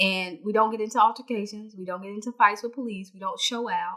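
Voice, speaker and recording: Her voice fairly high and her tone bright and sharp, a woman talks at a fairly quick pace. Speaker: online talk show host. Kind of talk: solo commentary vlog. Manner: loud.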